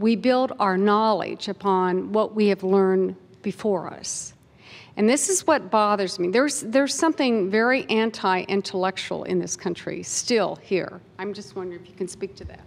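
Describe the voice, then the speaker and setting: Delivered at a moderate pace, an unremarkable speaking voice with an American accent shows big swings in loudness. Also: woman, medium pitch for a woman, ordinary pitch variation. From Kansas. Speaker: audience member asking question. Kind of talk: audience question at panel.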